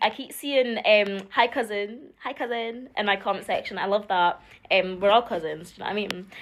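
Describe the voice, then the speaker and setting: A woman with a Scottish accent speaks at a medium pitch and a moderate pace. The recording is very clean, with a silent background. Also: ordinary pitch variation. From Scotland. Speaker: social media creator. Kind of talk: casual vlog.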